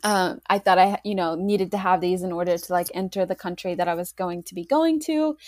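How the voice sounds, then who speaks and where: In a plain, everyday voice, the speaker talks fairly quickly with hardly any pauses and lively intonation. Loudness swings a lot, and the sound is dry and close with no echo. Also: woman, medium pitch for a woman. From Oklahoma. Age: 30s. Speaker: nutrition student. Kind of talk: casual interview.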